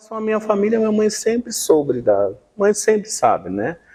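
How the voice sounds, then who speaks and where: A man with a dark, mellow tone swings his pitch very widely while keeping a moderate pace. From southern Brazil, Maringá (Paraná). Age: 50s. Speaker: documentary interviewee. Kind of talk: interview testimony.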